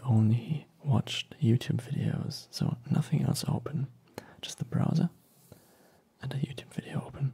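A soft-spoken man talks in a relaxed tone with vocal fry and ordinary pitch variation. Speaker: ASMR creator. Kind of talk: ASMR unboxing, softly spoken talk. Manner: soft-spoken, relaxed.

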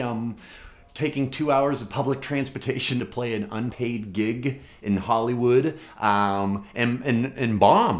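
Lively in intonation, a man talks at a fairly slow pace. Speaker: comedian. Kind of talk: casual vlog chat. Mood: wry, self-deprecating. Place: home room.

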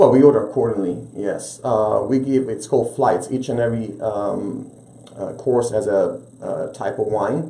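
Audible room echo around a man's speech, with ordinary pitch variation. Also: moderate pace. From Italy, Rome. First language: Italian. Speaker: restaurant owner; guest. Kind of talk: interview. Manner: animated. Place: studio.

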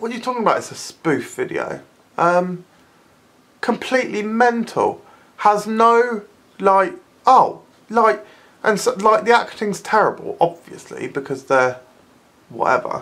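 The speaker uses vocal fry and very wide pitch swings at a fairly slow pace, with long, frequent pauses. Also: woman. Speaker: video blogger. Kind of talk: angry comedic rant; mocking impressions of squishy videos. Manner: incredulous, exasperated; sarcastic, animated. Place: home room. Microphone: phone near.

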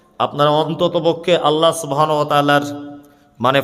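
Noticeable background noise sits behind a man's fairly high voice. His intonation is monotone and flat. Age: 30s. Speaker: Islamic preacher. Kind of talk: sermon.

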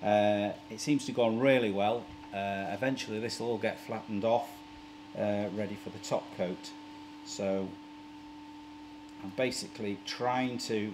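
Man at a fairly low pitch, fairly even intonation and a moderate pace, with long, frequent pauses amid noticeable background noise. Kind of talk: casual DIY vlog tutorial. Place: workshop.

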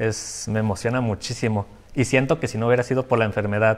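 A man with a fairly low pitch, fairly even intonation and a moderate pace. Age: 20s. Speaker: patient with chronic illness; interview guest. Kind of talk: interview. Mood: reflective, personal story. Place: studio. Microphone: lapel.

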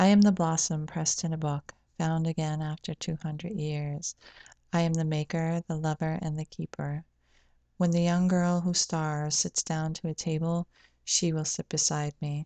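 A woman speaks at a moderate pace with a very deep, low pitch and a dark, mellow tone in a monotone, flat intonation. The sound is dry with no echo against a quiet background. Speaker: poet and video channel host. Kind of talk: poetry reading, read aloud from a page. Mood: calm, gentle, reflective. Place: home room. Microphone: webcam.

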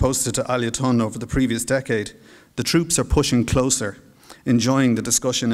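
An unforced reading voice carries the clip.

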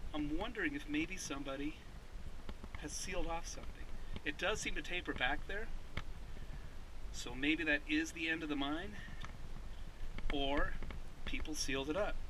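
Noticeable background noise accompanies a man speaking at a moderate pace with long, frequent pauses. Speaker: explorer vlogger. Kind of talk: casual vlog chat. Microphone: phone near.

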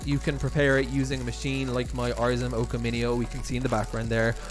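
A man talks at a fairly quick pace while clear music plays behind him. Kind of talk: tutorial. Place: kitchen.

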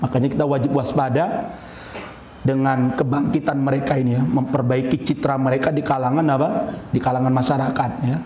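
Male speaker at a fairly quick pace with very even loudness, light background noise and audible room echo. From Indonesia. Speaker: Islamic preacher; religious teacher. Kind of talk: religious lecture. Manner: animated. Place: hall. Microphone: podium.

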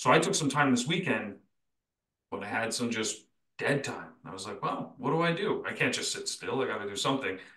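With lively intonation and big swings in loudness, a man talks at a fairly quick pace in a fairly high pitch. His tone is bright and sharp, and the room has audible echo. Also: quiet background. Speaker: podcast co-host and detailing software company founder; podcast co-host. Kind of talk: casual chat. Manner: animated. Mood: relaxed, reflective. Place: home room. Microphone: video call.

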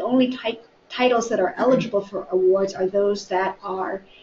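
With an American accent, a woman speaks at a moderate pace and fairly even intonation, with audible room echo and light background noise. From US Midwest. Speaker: library staff member. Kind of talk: book discussion. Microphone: webcam.

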